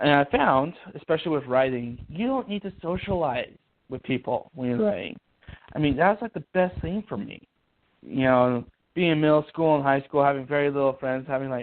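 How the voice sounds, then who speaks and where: Speaking fairly quickly in an American accent, a man keeps a fairly high pitch. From Ohio. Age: 20s. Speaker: author. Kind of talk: interview. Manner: halting.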